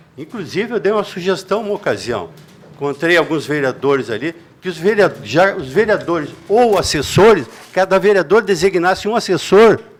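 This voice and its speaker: A man speaks at a moderate pace with a high pitch and lively intonation. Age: 70s. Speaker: citizen speaking at public meeting. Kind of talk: public meeting comment.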